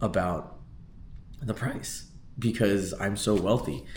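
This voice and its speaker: With audible room echo around him, a man speaks at a fairly low pitch with ordinary pitch variation. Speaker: vlogger and real estate agent. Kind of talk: casual vlog monologue. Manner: casual, filler-heavy.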